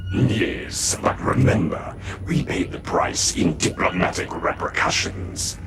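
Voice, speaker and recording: Over loud background noise, a man performs a cartoonish character voice at a very deep, low pitch and a fairly slow pace. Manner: clipped, formal.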